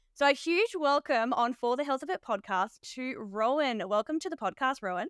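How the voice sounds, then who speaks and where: A woman with an Australian accent speaks at a moderate pace in a high voice with very wide pitch swings. The sound is dry and close, with no echo. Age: 30s. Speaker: podcast host and nurse. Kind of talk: scripted intro; podcast interview.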